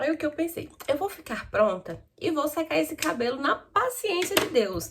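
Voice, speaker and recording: A woman talks at a fairly slow pace, with noticeable background noise around her. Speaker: newly qualified lawyer and vlogger. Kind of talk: get-ready-with-me vlog chat. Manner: casual, chatty.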